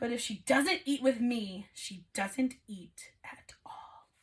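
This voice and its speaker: Putting on a character voice, a woman speaks very slowly in a high, gruff, growling tone. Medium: read story.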